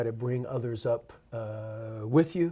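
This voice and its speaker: The speaker is male. There is some breathiness in his voice. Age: 60s. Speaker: university athletic director. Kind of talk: interview. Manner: hesitant with frequent fillers.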